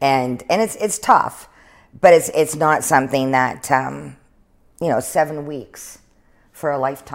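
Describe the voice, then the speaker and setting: Speech comes at a fairly slow pace with long, frequent pauses and ordinary pitch variation, on a very clean recording with a silent background. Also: woman, very deep, low pitch for a woman. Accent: Canadian. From British Columbia interior, Canada. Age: 50s. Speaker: city councillor. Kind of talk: interview.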